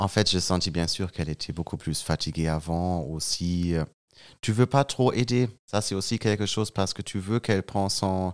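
On a very clean recording with a silent background, a man with a German accent speaks in a very deep, low voice with ordinary pitch variation. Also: moderate pace, dry, close sound with no echo. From Germany (Münster). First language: German (speaking French). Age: 20s. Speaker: young father, podcast guest. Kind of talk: personal testimony in casual interview. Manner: halting, searching for words.

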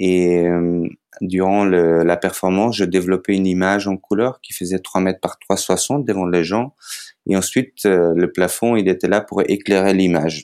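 In a Macedonian accent, a man with a very deep, low pitch speaks at a fairly slow pace with fairly even intonation, on a very clean recording with a silent background. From North Macedonia. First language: Macedonian (speaking French). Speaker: circus artist and photographer. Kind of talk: interview. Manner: hesitant, many fillers.

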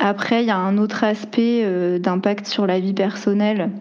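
Against noticeable background noise, a woman speaks at a very slow pace and medium pitch, with fairly even intonation. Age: 20s. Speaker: cultural project manager. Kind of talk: interview testimony. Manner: hesitant, many fillers.

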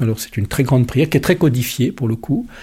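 A man's dark, mellow voice at medium pitch, somewhat breathy, with ordinary pitch variation, on a very clean recording with a silent background. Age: 50s. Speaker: lay pastoral worker. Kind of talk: interview testimony.

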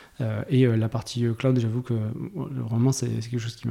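Speaking at a moderate pace, a man uses a medium pitch, a dark, mellow tone, a somewhat breathy voice and fairly even intonation. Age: 40s. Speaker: tech executive (CTO). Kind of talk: interview conversation. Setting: studio, face to face. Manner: halting, many repetitions.

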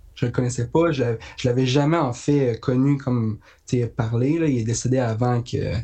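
At a moderate pace, a man talks with a medium pitch, a somewhat breathy, dark, mellow tone and fairly even intonation. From Quebec, Haute-Mauricie (La Tuque). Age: young. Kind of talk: casual interview.

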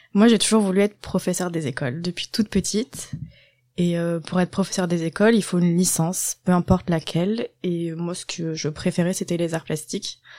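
Recorded very clean with a silent background and a dry, close sound with no echo, a woman with a fairly low pitch and a dark, mellow tone speaks at a fairly quick pace with fairly even intonation. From southwest France, Landes. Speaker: primary school teacher. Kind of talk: casual interview.

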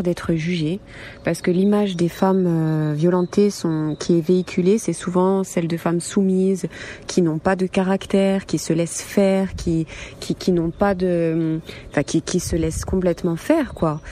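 The speaker goes at a fairly slow pace with fairly even intonation. Noticeable background noise is present. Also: woman, very even loudness. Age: 30s. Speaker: survivor of domestic violence, nurse. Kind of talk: testimony.

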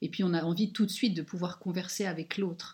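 On a very clean recording with a silent background, a somewhat breathy woman with a fairly low pitch speaks at a moderate pace with ordinary pitch variation. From Luxembourg. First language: Luxembourgish (speaking French). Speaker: language teacher. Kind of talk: interview. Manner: halting.

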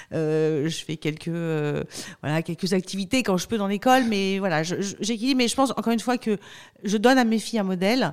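The voice moves at a fairly quick pace with lively intonation. The recording is very clean, with a silent background. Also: woman, medium pitch for a woman. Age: 40s. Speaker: company spokesperson. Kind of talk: podcast interview. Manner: energetic; frequent hesitations.

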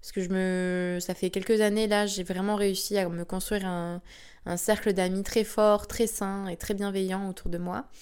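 A woman's medium-pitched voice, fairly slow and monotone, flat in intonation, in a very clean recording with a silent background. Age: 20s. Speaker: podcaster. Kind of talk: personal monologue. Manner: hesitant, many fillers.

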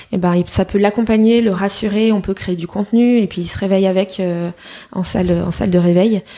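A woman at medium pitch speaking at a fairly quick pace over noticeable background noise. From France, Fontainebleau near Paris. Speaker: entrepreneur. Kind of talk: interview. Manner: energetic.

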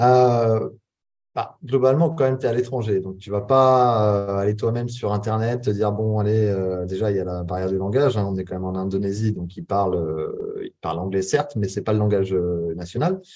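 A man speaks at a moderate pace in a dark, mellow tone. His pitch is fairly low, with ordinary variation. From western France (Charente-Maritime). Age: 30s. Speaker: entrepreneur and business coach. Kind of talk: casual interview. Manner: hesitant, many fillers.

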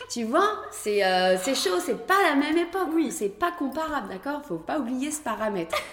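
With an animated tone and very wide pitch swings, a woman speaks high and fairly slowly over noticeable background noise. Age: 40s. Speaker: pole dance champion and studio founder. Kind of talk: casual interview. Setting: dance studio. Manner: animated, laughing often.

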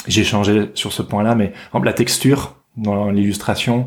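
A man speaks at a fairly slow pace in a fairly low pitch. He has a plain, everyday voice and fairly even intonation. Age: 30s. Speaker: illustrator. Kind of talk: casual chat.

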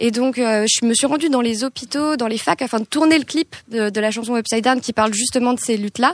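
At a fairly quick pace, a woman speaks in a high pitch with ordinary pitch variation, the sound dry and close with no echo. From France, Île-de-France (Hauts-de-Seine). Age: 20s. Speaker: singer-songwriter. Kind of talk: casual chat.

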